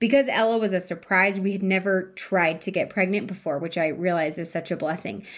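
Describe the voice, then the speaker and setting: Speaking at a fairly quick pace, a woman has a medium pitch and ordinary pitch variation. She has a plain, everyday voice, heard in a very clean recording with a silent background. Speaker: wellness podcast host. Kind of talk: personal storytelling monologue.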